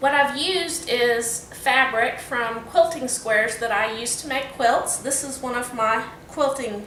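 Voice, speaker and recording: With a Texan accent, a woman speaks at a fairly high pitch over noticeable background noise and audible room echo. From Texas. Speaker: student giving class speech. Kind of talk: impromptu class speech. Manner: casual, with fillers.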